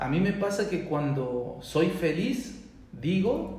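This man talks with lively intonation, and audible room echo surrounds his voice. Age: 40s. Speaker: discussion group moderator. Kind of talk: casual chat.

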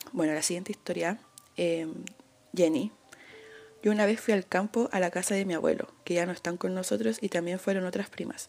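Fairly quick speech in a Chilean accent, broken by long, frequent pauses, with ordinary pitch variation. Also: woman, medium pitch for a woman. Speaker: podcast host. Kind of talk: casual chat. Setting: bedroom at home.

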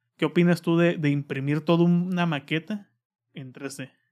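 With a Mexican accent, a man speaks at a moderate pace, his fairly high pitch held in fairly even intonation. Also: very clean recording, silent background. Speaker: podcast host. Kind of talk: casual chat.

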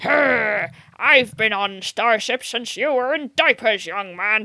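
A put-on character voice, raspy and fairly high-pitched. It moves at a very slow pace. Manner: angry, indignant.

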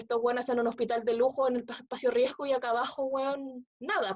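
Very fast and high-pitched, a woman's voice comes through with a dry, close sound and no echo. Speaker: podcast host. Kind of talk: casual chat. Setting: video call.

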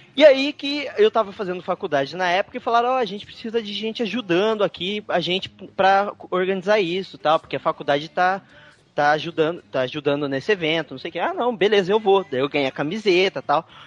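Lively in intonation, a man talks at a very fast pace with hardly any pauses, his voice high in pitch and the sound dry and close with no echo. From Porto Velho, Brazil. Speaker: listener guest. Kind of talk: casual chat.

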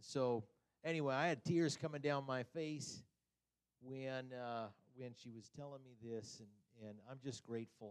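An ordinary speaking voice moves at a fairly slow pace with fairly even intonation and big swings in loudness. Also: man, medium pitch for a man. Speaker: church member giving a testimony. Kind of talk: impromptu testimony. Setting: church.

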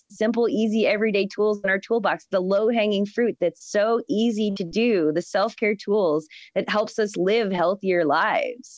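A woman with a plain, everyday voice talks at a moderate pace and medium pitch, with ordinary pitch variation. Her loudness stays very even and she hardly pauses. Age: 30s. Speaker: flower farmer and permaculture practitioner. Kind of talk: casual chat.

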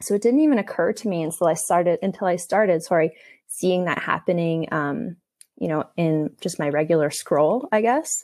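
In a very clean recording with a silent background, a woman speaks with a Canadian accent. Her pitch is fairly low, her pace moderate and her intonation lively. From Canada, Toronto. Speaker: educator and therapist in training. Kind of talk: casual interview. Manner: hesitant, many fillers.

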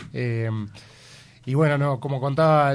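A man speaks in an ordinary speaking voice at medium pitch. His intonation stays fairly even. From Uruguay. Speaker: musician in a rock band. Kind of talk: radio interview.

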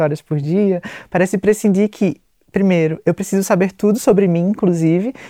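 In a dry, close recording with no echo, a woman of medium pitch speaks at a moderate pace with a dark, mellow tone. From Pernambuco, Brazil. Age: 30s. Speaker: psychologist and researcher. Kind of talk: interview conversation.

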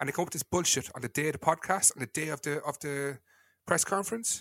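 A man in a Cork accent, very fast and animated, with vocal fry, in a dry, close sound with no echo. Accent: Cork Irish. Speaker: podcast host and football fan. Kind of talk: casual chat podcast. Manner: ranting, animated.

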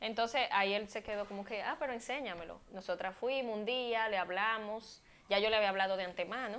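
A woman with a normal speaking voice talks at a fairly quick pace and medium pitch, with ordinary pitch variation. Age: 20s. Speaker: model and communicator, former beauty queen. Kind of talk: casual chat.

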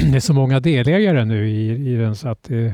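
Speaking at a moderate pace, a man has a medium pitch, ordinary pitch variation and a dark, mellow tone. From Stockholm archipelago, summers since childhood. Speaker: islander interviewee. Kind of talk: casual interview chat. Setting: outdoors on a terrace. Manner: halting, with repetitions.

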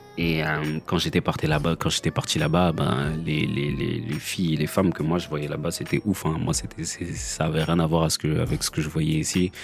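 Against noticeable background noise, a man speaks in a very deep, low voice with monotone, flat intonation. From France. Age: 30s. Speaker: podcaster and father. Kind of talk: personal monologue. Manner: halting with many repetitions.

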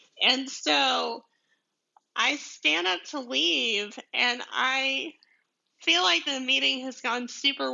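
Her pitch high and swinging very widely, a woman with an American accent speaks at a very slow pace. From deep south Georgia, US. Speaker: podcast host, commercial photographer. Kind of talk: casual solo podcast monologue. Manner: chatty, laughing, rambling.

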